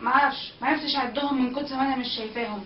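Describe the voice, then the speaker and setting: A woman with an Egyptian accent speaks fairly quickly at a high pitch with fairly even intonation, with audible room echo and light background noise. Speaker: protest organizer. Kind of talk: eyewitness account. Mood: earnest, proud, emotional. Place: home room. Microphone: webcam.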